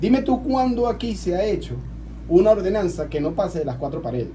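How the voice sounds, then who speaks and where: A man talks at a fairly quick pace with audible room echo. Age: 40s. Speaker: local councillor. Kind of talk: radio interview.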